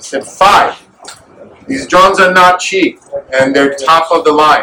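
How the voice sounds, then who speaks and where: Loud and high-pitched, a man speaks with ordinary pitch variation. Noticeable background noise is present. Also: fairly slow pace. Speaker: volunteer supplying soldiers. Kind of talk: speech at fundraising event. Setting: event with audience.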